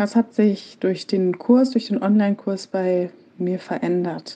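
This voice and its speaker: A woman talks at a fairly slow pace in a medium pitch with ordinary pitch variation. Her tone is dark and mellow. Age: 30s. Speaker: project manager. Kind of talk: pre-recorded personal testimony.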